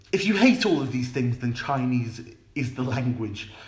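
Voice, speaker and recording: With audible room echo, a man at medium pitch speaks at a moderate pace in a British accent. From United Kingdom. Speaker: language teacher, YouTuber. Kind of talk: educational talk to camera. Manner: some hesitations (um, repeated words).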